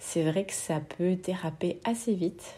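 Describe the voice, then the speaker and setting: This woman talks very slowly. Her voice rises and falls in an ordinary way. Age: 30s. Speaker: testimony contributor. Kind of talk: recorded voice message testimony.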